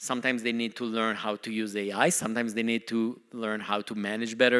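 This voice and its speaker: A man with a non-native accent speaks at a fairly quick pace. His tone is bright and sharp, with fairly even intonation. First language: not English. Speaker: company CEO. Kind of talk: conference talk.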